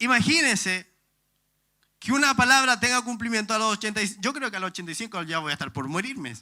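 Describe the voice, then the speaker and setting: A man's high-pitched, raised and projected voice, bright and sharp in tone, at a fairly quick pace on a very clean recording with a silent background. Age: 30s. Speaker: pastor. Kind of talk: sermon.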